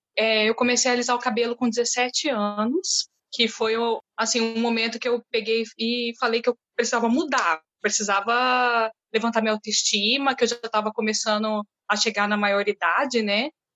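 Speaking at a moderate pace, a woman has an unremarkable speaking voice, fairly high in pitch, with fairly even intonation and very even loudness. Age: 30s. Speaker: municipal education worker. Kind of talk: recorded testimony.

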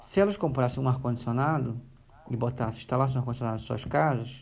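With a Rio de Janeiro accent, a man speaks with ordinary pitch variation. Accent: carioca (Rio). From Rio de Janeiro, Brazil. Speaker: human rights organization worker, environmental activist. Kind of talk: casual interview chat. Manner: halting, many fillers.

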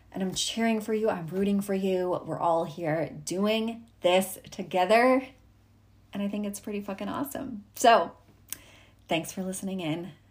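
Upbeat and somewhat breathy, a woman speaks at a medium pitch with ordinary pitch variation. The recording is very clean, with a silent background. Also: moderate pace. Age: 30s. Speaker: podcast host, entrepreneur coach. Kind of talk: solo monologue, motivational tips. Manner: casual, upbeat.

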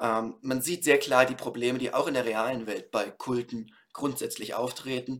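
A man with an unremarkable speaking voice talks at a fairly slow pace and medium pitch, with fairly even intonation and hardly any pauses. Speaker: podcast host reviewing books. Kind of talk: solo book review.

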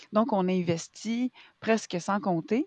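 In a Quebec accent, a woman talks at a medium pitch with ordinary pitch variation, in a dry, close sound with no echo. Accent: Québécois French. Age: 30s. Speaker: actress and arts entrepreneur. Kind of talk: casual interview. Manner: hesitant, many fillers.

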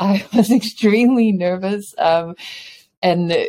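A woman speaks in a New Zealand accent. Her intonation is lively. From New Zealand, Samoan family. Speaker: chocolate entrepreneur and dance teacher. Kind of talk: casual interview.

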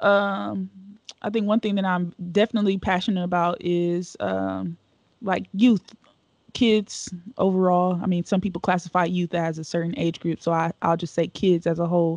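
In an American accent, a woman speaks at a moderate pace with a fairly low pitch. Her intonation stays fairly even, and the sound is dry and close with no echo. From Cleveland, Ohio, US Midwest. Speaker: youth development director. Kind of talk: casual interview.

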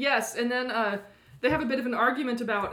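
In a monotone, flat intonation, a woman talks at a fairly quick pace with a high pitch and a bright, sharp tone. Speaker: podcast co-host. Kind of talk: casual chat.

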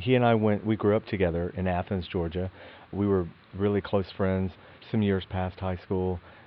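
Fairly even intonation marks a man talking at a moderate pace. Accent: Southern US. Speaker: actor. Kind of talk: interview.

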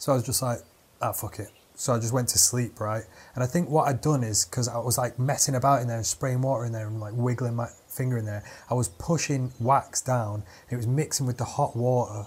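At a very fast pace, a man with a medium pitch and fairly even intonation sounds somewhat breathy in a very clean recording with a silent background. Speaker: comedian. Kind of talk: casual chat.

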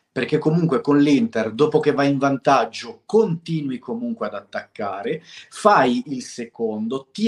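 A man's fairly high-pitched voice, fairly slow in pace, with very wide swings in pitch. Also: dry, close sound with no echo. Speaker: co-host football fan. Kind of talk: heated casual chat.

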